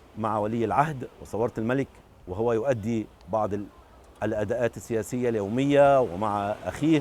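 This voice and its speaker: This man has an unremarkable speaking voice at a medium pitch. He talks at a fairly slow pace with ordinary pitch variation. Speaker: documentary filmmaker. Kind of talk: interview answer.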